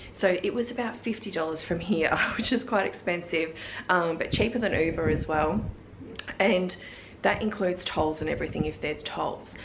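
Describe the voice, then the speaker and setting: Ordinary pitch variation and a moderate pace come through over noticeable background noise. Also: woman. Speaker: travel vlogger. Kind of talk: casual vlog chat. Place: home room. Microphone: phone near.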